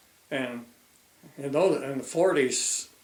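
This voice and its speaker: There is noticeable background noise behind a man's voice. His pitch is fairly high, with ordinary variation. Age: 80s+. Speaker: retired fisheries biologist. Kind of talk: oral history interview. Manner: halting.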